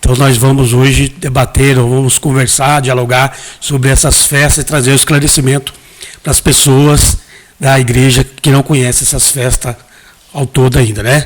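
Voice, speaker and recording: A man speaks in a monotone, flat intonation at a medium pitch and a moderate pace. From Brazil, Mato Grosso. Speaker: pastor and hairdresser. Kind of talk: interview, testimony.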